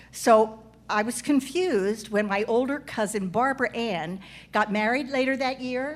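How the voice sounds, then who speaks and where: A woman's high-pitched voice at a moderate pace, with lively intonation and noticeable background noise. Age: 70s. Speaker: comedic storyteller, cast member of a live show. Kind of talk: live stage monologue. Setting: stage with live audience.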